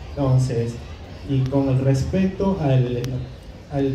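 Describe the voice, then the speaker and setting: A very slow delivery in an Andean accent, with noticeable background noise and audible room echo. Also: man. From Peru, Ayacucho highlands. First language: Quechua (speaking Spanish). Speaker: author. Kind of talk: book presentation talk. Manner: hesitant, many fillers.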